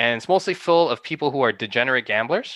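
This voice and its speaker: A man's bright, sharp tone comes through dry and close with no echo, over a quiet background. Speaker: guest on stock trading. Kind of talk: casual chat. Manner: animated.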